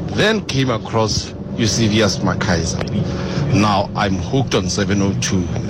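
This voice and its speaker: Over music in the background, a man talks at a fairly low pitch with ordinary pitch variation. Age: 30s. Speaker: guest co-host, radio fan. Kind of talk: phone-in radio talk show. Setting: radio studio.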